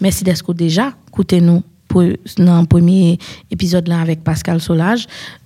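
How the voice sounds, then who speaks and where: A woman speaks at a fairly low pitch and moderate pace, somewhat breathy. Her tone is dark and mellow, with fairly even intonation. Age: 30s. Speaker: podcast host. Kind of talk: casual chat.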